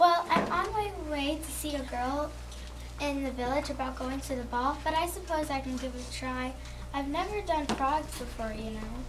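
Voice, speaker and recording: A croaky, female-sounding put-on character voice speaks at a moderate pace. Loud background noise runs underneath. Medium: read story.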